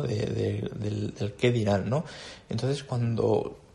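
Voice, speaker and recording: A man talks with vocal fry. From Andalusia, Jaén (Bailén). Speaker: orchestral clarinetist. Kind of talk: casual interview chat. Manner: halting, with frequent repetitions.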